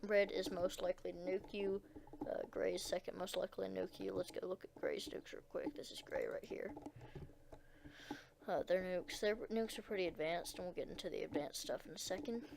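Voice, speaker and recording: The speaker is soft-spoken and moves at a fairly quick pace. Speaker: gaming video creator. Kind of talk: gameplay commentary. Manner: quiet, speaking softly; hesitant, many fillers.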